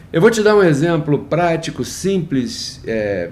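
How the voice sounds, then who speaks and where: Amid audible room echo, a man speaks at a very slow pace, his pitch swinging very widely. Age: 60s. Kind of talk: devotional talk. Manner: hesitant, repeats words.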